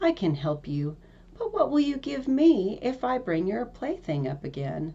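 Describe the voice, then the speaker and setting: A female-sounding, put-on character voice at a medium pitch moves at a moderate pace with very wide pitch swings. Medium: read story. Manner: persistent, coaxing.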